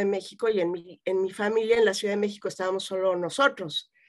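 A woman talks fairly quickly, and the background is quiet. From Mexico City. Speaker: psychotherapist; guest. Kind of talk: interview. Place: home room. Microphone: webcam.

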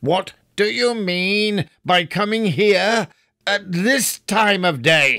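A put-on character voice at a very slow pace. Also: man, high pitch for a man. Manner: gruff, growling.

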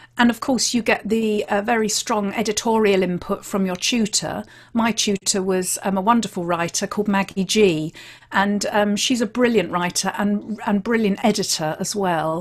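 Against a quiet background, a woman speaks with a British accent. Her pace is moderate and her intonation fairly even. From England. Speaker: podcast host and crime writer. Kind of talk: casual chat. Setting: video call. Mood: candid, critical, opinionated. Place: home room.

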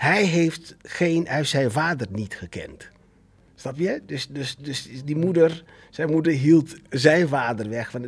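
A man's fairly high-pitched voice at a very slow pace, with ordinary pitch variation and big swings in loudness. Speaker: actor and theatre director, father. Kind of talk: casual chat. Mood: open, reflective, some laughs. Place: studio. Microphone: studio mic.

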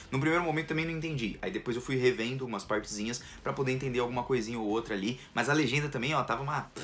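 A man at a very fast pace, ordinary pitch variation, light background noise. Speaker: anime reviewer. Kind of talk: casual vlog chat. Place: home room. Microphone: phone near.

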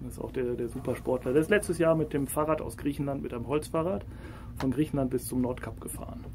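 A man at a very fast pace, medium-pitched with vocal fry and ordinary pitch variation. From Ruhr area, Germany. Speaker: podcast host. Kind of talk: casual interview.

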